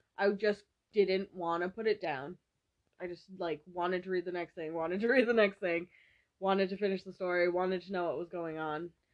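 An unremarkable speaking voice from a woman, medium in pitch, fairly quick, with fairly even intonation and big swings in loudness. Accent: American. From Massachusetts. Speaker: podcast co-host. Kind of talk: casual chat.

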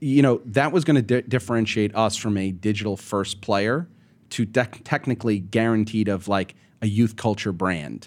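With an ordinary speaking voice and ordinary pitch variation, a man with a fairly low pitch talks at a moderate pace on a very clean recording with a silent background. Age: 40s. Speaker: media company CEO. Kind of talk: interview.

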